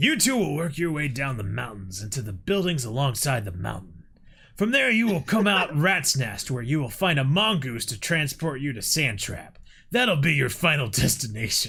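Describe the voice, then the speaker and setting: Using a put-on character voice, a man speaks at a moderate pace with a fairly high pitch and very wide pitch swings. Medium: solo performance. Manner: curt, authoritative.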